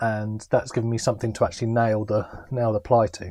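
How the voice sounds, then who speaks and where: The voice carries a British accent. The background is quiet. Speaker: DIY van builder vlogger. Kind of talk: casual vlog tutorial. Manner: hesitant, many fillers.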